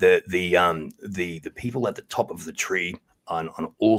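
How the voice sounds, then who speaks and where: A man speaks with an Australian accent. His voice is very deep and low. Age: 40s. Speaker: podcast guest. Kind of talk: interview.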